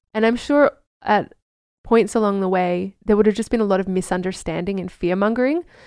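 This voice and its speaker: With an Australian accent, a woman talks at a fairly quick pace in a medium pitch with ordinary variation, over a quiet background. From Australia, Queensland. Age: 30s. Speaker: herbalist. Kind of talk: casual chat.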